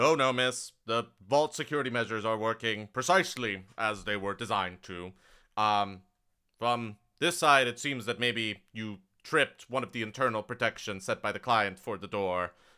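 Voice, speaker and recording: In a put-on character voice, a man rumbles at medium pitch. He keeps a moderate pace on a very clean recording with a silent background. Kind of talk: formal, polite, officious.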